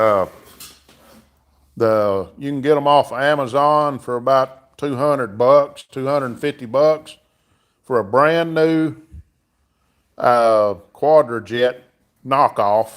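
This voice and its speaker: A man speaks in a Southern US accent at a very slow pace. Long, frequent pauses break up his speech. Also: medium pitch for a man, ordinary pitch variation. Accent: southern drawl. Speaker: livestreamer, car mechanic hobbyist. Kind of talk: casual live stream chat. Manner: casual, filler-heavy.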